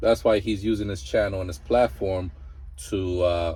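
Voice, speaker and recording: A man with a Mexican accent, somewhat breathy, dark and mellow in tone, at a moderate pace. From Mexico. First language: Spanish. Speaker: truck driver and vlogger. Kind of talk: casual reaction commentary. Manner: animated.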